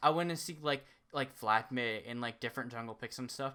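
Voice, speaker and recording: On a very clean recording with a silent background, a man with a bright, sharp tone talks at a fairly quick pace. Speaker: esports tier list co-host. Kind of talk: casual chat.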